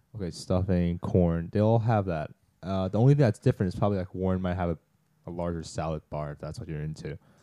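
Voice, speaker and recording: A man speaks very fast in a very deep, low voice with a dark, mellow tone and big swings in loudness. The sound is dry and close with no echo, against a quiet background. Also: ordinary pitch variation. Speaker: college student podcast co-host. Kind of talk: casual chat.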